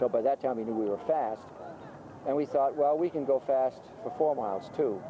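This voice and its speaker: Speaking with a New England accent, a man uses a fairly high pitch and lively intonation at a moderate pace. Noticeable background noise can be heard. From Lowell, Massachusetts. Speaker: rowing coach and teacher. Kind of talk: interview answer. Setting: outdoors.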